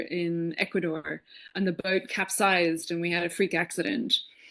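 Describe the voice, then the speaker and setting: A woman speaks in an Irish accent at a medium pitch and moderate pace, with ordinary pitch variation. The background is quiet. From Ireland, Dublin. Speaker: podcast guest, spiritual speaker. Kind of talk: casual interview, personal story.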